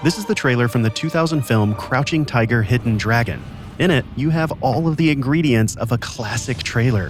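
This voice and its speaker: Music plays in the background as a man at medium pitch talks fairly quickly with lively intonation. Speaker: podcast host. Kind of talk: podcast narration.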